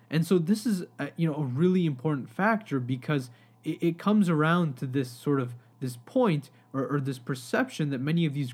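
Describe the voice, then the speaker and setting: With lively intonation and a somewhat breathy sound, a man speaks at a moderate pace. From Pakistani heritage. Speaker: podcast host. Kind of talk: solo history podcast monologue. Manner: casual with many fillers.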